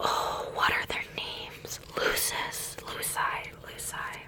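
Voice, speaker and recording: A woman is whispering at a very slow pace. Noticeable background noise runs underneath. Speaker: ASMR creator. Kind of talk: ASMR ramble. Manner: whispering, soft.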